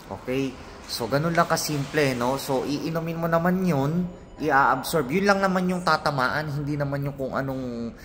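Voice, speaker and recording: Audible room echo follows a man speaking at a moderate pace in a fairly high pitch with ordinary pitch variation. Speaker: vlogger and professor. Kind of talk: casual talk to camera about health experience. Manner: hesitant, many fillers.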